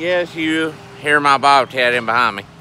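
With an American accent, a man speaks with ordinary pitch variation in a dry sound with no echo and light background noise. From US South. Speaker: farmer and video blogger. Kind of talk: casual vlog narration. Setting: outdoors. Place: open country. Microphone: phone near.

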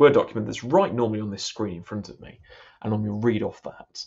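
A man's fairly low voice, monotone and flat, against a quiet background. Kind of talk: casual spoken reflection before prayers. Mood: thoughtful, hesitant. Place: home room. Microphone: webcam.

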